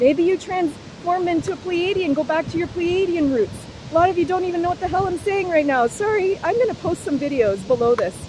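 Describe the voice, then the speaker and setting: Over noticeable background noise, a woman with an extremely high pitch talks at a fairly quick pace in an animated tone. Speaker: spiritual vlogger. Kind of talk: unscripted monologue. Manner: loud.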